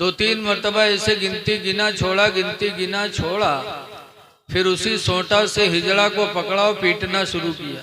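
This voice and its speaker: A man uses a raised, projected voice at a high pitch. His intonation is monotone and flat. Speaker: Islamic preacher. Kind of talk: humorous religious sermon on stage. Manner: joking storytelling.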